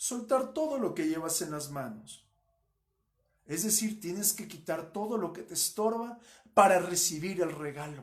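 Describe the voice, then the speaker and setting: In a room with audible echo, a high-voiced man speaks fairly slowly with lively intonation and big swings in loudness. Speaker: pastor. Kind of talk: sermon.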